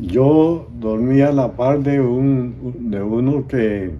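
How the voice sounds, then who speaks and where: Medium-pitched male voice, dark and mellow in tone, with ordinary pitch variation and audible room echo. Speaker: war veteran. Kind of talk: testimony. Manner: halting.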